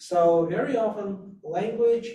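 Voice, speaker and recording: A man with a Russian accent, dark and mellow in tone, at a very slow pace with fairly even intonation. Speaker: interpreter and arms control expert, roundtable guest. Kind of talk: conference presentation.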